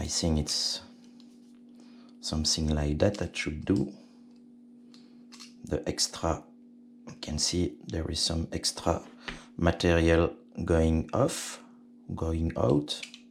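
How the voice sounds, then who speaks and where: Somewhat breathy and in a French accent, this voice moves at a very slow pace, with long, frequent pauses and ordinary pitch variation. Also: man, very deep, low pitch for a man. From Belgium, French-speaking. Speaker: RC helicopter hobbyist. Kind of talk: tutorial. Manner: halting, many fillers.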